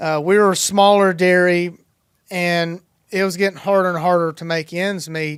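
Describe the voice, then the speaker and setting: A man with a Tennessee accent speaks at a moderate pace in a high voice, his intonation flat and monotone. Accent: Southern US (Tennessee). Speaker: dairy farmer. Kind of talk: podcast interview answer.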